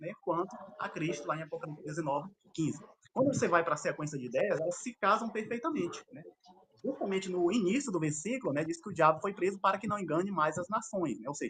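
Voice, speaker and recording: A man speaks at a very fast pace. His voice is high in pitch. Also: lively intonation. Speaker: theological debater. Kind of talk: formal debate. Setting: live stream debate. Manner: filler-heavy, halting.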